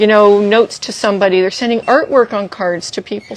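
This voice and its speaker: Her intonation fairly even, a woman speaks at a fairly quick pace. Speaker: art supply store staff. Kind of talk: product showcase livestream. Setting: Instagram livestream. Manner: fast.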